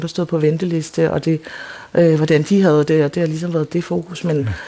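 A woman speaks at a fairly quick pace in a very deep, low pitch. Noticeable background noise sits behind her. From Denmark, adopted from South Korea. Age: 40s. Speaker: playwright. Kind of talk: radio interview. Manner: halting.

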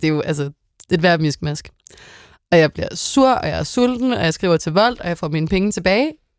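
A plain, everyday voice from a woman, fairly low pitch, ordinary pitch variation, moderate pace, dry close sound with no echo. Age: 20s. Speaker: tv host. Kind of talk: casual chat.

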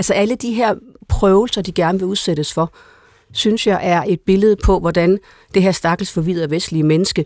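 In an ordinary speaking voice, a woman talks at a moderate pace and medium pitch, with ordinary pitch variation and a dry, close sound with no echo. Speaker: priest and panelist. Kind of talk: radio panel discussion. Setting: studio. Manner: repetitive, restarts sentences.

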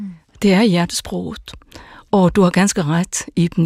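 A woman speaks in a flat monotone at a medium pitch, with a dry, close sound and no echo. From Faroe Islands. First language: Faroese (speaking Danish). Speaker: pastor. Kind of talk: radio panel discussion.

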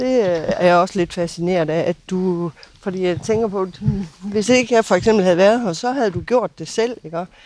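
A woman speaks at a moderate pace in an unremarkable speaking voice with ordinary pitch variation. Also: medium pitch for a woman. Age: 60s. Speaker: neighbour of a departure centre. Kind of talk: interview. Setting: outdoors on garden terrace.

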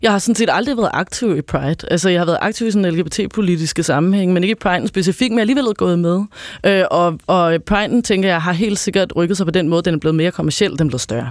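A high-pitched man speaks at a very fast pace with hardly any pauses, ordinary pitch variation and very even loudness. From Copenhagen, Denmark. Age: 30s. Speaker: anti-discrimination consultant. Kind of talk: radio panel discussion.

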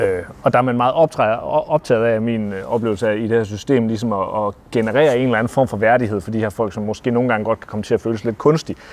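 Speaking at a very fast pace, a man keeps his intonation fairly even. His pitch sits in the medium range. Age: 30s. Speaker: novelist. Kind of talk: interview. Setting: library.

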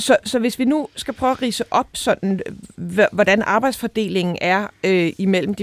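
A woman's normal speaking voice at a moderate pace, with ordinary pitch variation, in a dry, close sound with no echo. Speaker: radio host. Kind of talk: radio discussion, interview. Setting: studio.

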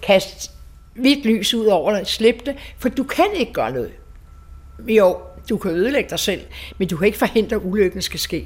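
A woman with a fairly high pitch and vocal fry speaks at a moderate pace with lively intonation, leaving long, frequent pauses. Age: 80s+. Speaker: survivor of wartime bombing. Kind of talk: personal testimony interview. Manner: halting.

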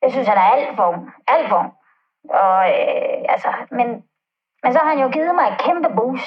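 A woman speaks at a fairly slow pace. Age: 70s. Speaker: caller. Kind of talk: personal testimony. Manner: halting.

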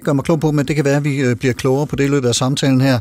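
This man speaks at a fairly high pitch. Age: 50s. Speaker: radio host. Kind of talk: radio talk show.

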